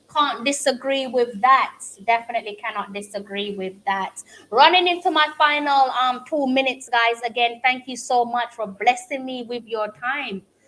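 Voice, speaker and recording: A woman speaks with a strong Jamaican accent at a moderate pace. Her high voice has a bright, sharp tone and big swings in loudness. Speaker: football fan streamer. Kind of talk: casual live-stream watch-along chat. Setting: home live stream. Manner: frequent hesitations with um.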